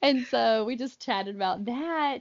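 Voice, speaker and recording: A woman talks with an American accent. Her pace is fairly slow. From US South, North Carolina. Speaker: podcast co-host. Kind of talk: casual chat.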